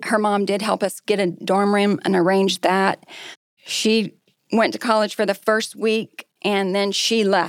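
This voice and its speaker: A woman with a Texan accent talks at a medium pitch and a moderate pace, her intonation monotone and flat. The sound is dry and close, with no echo. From Texas. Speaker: restaurant group executive. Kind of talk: personal life story; casual chat.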